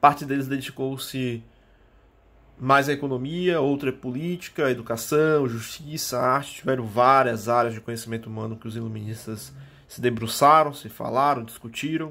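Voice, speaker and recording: Loudness swings widely as a man with a bright, sharp, medium-pitched voice speaks at a moderate pace in fairly even intonation, with audible room echo around him. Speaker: history teacher. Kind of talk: lecture.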